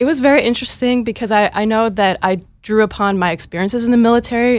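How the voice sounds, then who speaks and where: A woman speaks with an American accent in a plain, everyday voice. Her pace is fairly quick, with ordinary pitch variation. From Minnesota (Northfield). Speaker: Army National Guard veteran, veterans organization staffer. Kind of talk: interview.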